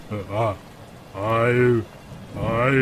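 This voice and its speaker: A man's put-on character voice, medium in pitch, in a monotone, flat delivery over clearly audible background noise. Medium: audio drama.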